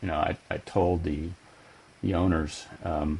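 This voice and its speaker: A man's very deep, low voice, somewhat breathy. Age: 60s. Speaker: software company CEO. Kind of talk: podcast interview.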